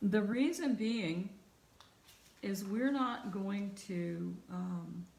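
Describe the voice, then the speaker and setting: Over noticeable background noise and audible room echo, a woman speaks at a very slow pace with long, frequent pauses. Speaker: art teacher. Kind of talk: online class tutorial. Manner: trails off when thinking.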